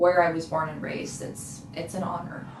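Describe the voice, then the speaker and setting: A woman with a fairly low pitch talks at a moderate pace against noticeable background noise. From South King County, Washington, USA. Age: 20s. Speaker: community organizer and tenant counselor. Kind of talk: interview answer.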